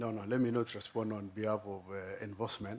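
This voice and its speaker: This man talks at a fairly slow pace in a fairly low pitch, his intonation fairly even. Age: 60s. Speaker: county finance executive. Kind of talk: committee testimony. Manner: halting.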